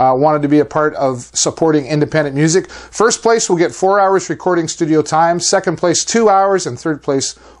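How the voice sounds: His pitch is fairly high for a man. The variation in it is ordinary. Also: moderate pace, few pauses.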